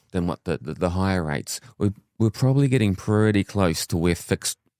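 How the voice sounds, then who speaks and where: Dark and mellow in tone, a man speaks at a fairly low pitch with a New Zealand accent. The recording is very clean, with a silent background and a dry, close sound free of echo. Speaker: mortgage adviser. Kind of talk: casual chat.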